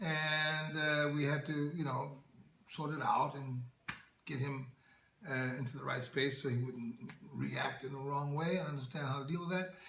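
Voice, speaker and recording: The speaker has an American accent and a moderate pace with long, frequent pauses. Intonation stays fairly even, and there is noticeable background noise. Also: man, fairly high pitch for a man. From Oakland, California, USA. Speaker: actor and entertainer. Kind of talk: interview answer.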